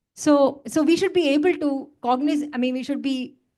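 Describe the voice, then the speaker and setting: A woman speaks loudly at a moderate pace. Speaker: study circle participant. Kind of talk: group discussion. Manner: halting.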